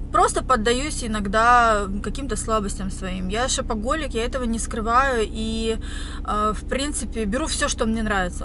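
A woman's voice at a moderate pace with ordinary pitch variation, dry with no echo, against noticeable background noise. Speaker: vlogger. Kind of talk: casual vlog chat. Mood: reflective, relaxed. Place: car. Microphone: phone near.

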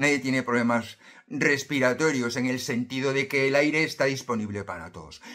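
A man's bright, sharp tone at a moderate pace, with ordinary pitch variation over a quiet background. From Spain, Galicia (A Coruña); Galicia, Spain. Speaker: self-help youtuber. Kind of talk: motivational monologue to camera. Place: home room. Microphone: phone near.

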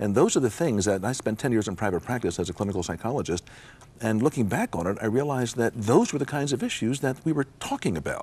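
A man with an American accent and a medium pitch talks at a very fast pace with lively intonation. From United States. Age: 60s. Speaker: psychologist and Bible teacher. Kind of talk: interview. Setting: studio. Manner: reflective. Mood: reflective, earnest. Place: studio. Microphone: lapel.

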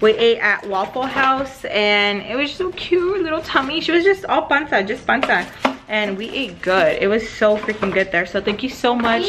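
A woman talks at a moderate pace over noticeable background noise. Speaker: vlogger. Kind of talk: casual vlog chat. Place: home room. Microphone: phone near.

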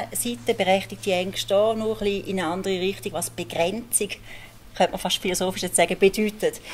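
A woman talks very fast with a Swiss accent and a lively intonation. Light background noise is present. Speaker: moderator and local journalist; moderator, local journalist. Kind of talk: moderated panel discussion. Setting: stage with audience.

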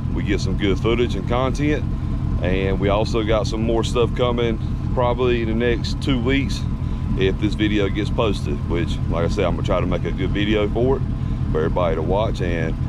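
A man talks at a fairly quick pace with ordinary pitch variation. The sound is dry with no echo, but loud noise fills the background. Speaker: off-road vlogger. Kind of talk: casual vlog chat. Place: open country. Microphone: phone near.

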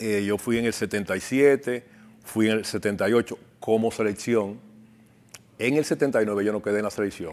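Speaking very slowly, a man keeps a fairly low pitch and fairly even intonation. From Dominican Republic, Cibao region (La Vega/Santiago); Dominican Republic. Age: 60s. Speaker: bicycle shop owner and former competitive cyclist; interview guest. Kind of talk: interview. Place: studio. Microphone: lapel.

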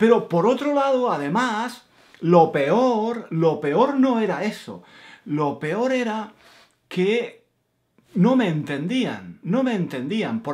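Against a quiet background, a man with a southern Spanish accent speaks at a very slow pace. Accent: southern Spanish, Granada. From Granada, Spain. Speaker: Spanish teacher. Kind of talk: casual spoken Spanish. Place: home room. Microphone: webcam.

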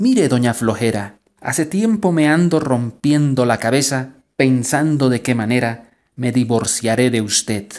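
Fairly unhurried speech, very cleanly recorded over a silent background. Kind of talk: poem performed, a playful mock-romantic address to personified laziness. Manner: teasing, jocular, theatrical; shifts between mock-scolding and tender, wistful tone.

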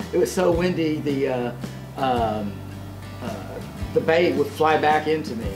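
He keeps to a moderate pace. Behind this man, music is clearly heard. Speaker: travel vlogger. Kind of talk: casual vlog chat. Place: home room. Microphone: phone near.

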